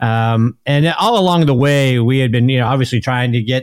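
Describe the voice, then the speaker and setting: Here a man of medium pitch sounds enthusiastic and animated, with ordinary pitch variation. He keeps a moderate pace on a very clean recording with a silent background. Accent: American. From Pittsburgh, US. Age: 50s. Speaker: golf podcaster and sports broadcaster. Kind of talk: radio interview. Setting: radio show interview. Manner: enthusiastic, animated.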